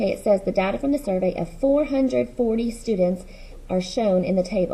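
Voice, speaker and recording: A woman speaks with a dark, mellow tone and a somewhat breathy sound. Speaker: middle school math teacher. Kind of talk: recorded lesson. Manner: fast.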